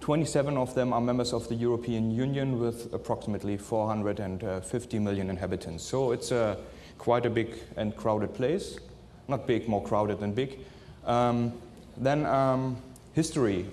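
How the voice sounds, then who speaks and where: A man speaks at a moderate pace and medium pitch with ordinary pitch variation, and the room's echo is audible. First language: not English. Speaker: forensic scientist. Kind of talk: conference presentation. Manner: halting, many filler sounds.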